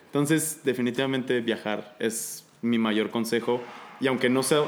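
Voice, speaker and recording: Here is a man with an unremarkable speaking voice, pitched in the medium range. His pace is moderate and his intonation fairly even. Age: 20s. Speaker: aspiring airline pilot and paramedic. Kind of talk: casual chat.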